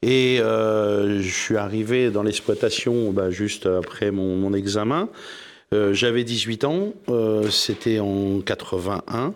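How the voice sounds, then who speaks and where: At a very slow pace, a man speaks in a fairly low voice with fairly even intonation, recorded very cleanly over a silent background. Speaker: cereal farmer. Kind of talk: televised panel debate. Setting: studio with live audience.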